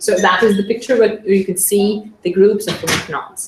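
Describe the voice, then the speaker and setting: Audible room echo around a woman's medium-pitched voice. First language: not English. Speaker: SCENAR practitioner. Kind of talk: conference presentation. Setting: conference with audience. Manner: halting, many fillers.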